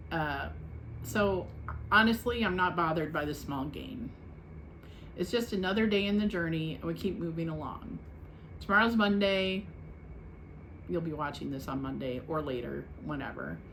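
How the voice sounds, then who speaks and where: Moderate pace broken by long, frequent pauses, with audible room echo. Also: woman. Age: 60s. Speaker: weight-loss vlogger. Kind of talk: casual vlog check-in. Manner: casual, chatty.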